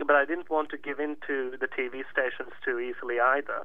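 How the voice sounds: At a moderate pace, a man delivers his words.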